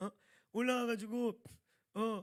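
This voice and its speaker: A high-pitched man talks in an animated tone. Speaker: pastor. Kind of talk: sermon. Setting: church.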